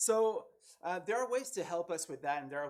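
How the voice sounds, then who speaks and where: A man speaks at a fairly quick pace with a slight French Canadian accent. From Quebec, French Canada. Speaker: tech conference speaker, developer evangelist. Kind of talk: technical talk at a meetup. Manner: casual, many fillers.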